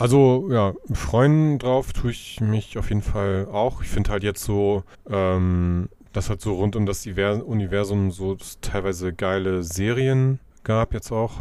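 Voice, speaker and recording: On a very clean recording with a silent background, a man with a dark, mellow tone and fairly low pitch speaks very slowly with ordinary pitch variation. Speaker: podcast co-host. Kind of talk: casual chat.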